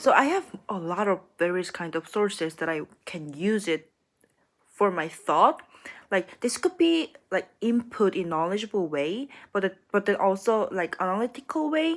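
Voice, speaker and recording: A woman with a Korean accent speaks at a medium pitch, her voice making very wide pitch swings. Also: moderate pace. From South Korea. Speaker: graduate student. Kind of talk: casual vlog monologue. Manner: halting, many fillers and restarts.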